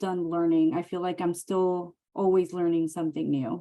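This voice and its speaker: A woman with a fairly low pitch speaks in a Mexican accent. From Mexicali, Mexico / Calexico border area. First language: Spanish. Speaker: emergency medicine physician assistant. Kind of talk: Q&A webinar.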